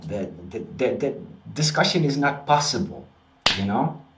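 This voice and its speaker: Audible room echo surrounds a man who speaks at a fairly slow pace and medium pitch, his voice making very wide pitch swings. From Netherlands. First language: Dutch. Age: 30s. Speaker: spiritual practitioner and video host. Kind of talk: casual vlog monologue. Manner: halting, frequent repetitions and fillers.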